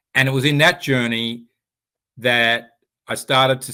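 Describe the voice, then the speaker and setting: Speaking with an American accent, a man keeps to a medium pitch. His pace is fairly slow and his pitch varies in an ordinary way. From Australia, Sydney. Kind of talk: interview. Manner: halting, many repeated words and fillers.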